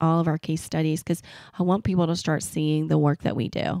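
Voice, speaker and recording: In a very clean recording with a silent background and a dry, close sound with no echo, a woman speaks at a fairly low pitch in a Southern US accent. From US South. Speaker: marketing agency owner. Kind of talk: podcast interview.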